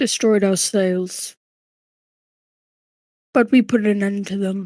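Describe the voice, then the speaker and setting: The voice is a put-on character voice that sounds female, with a medium pitch for a woman. It unfolds at a fairly slow pace. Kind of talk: epic tale-telling. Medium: actual play. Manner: solemn, dramatic, halting.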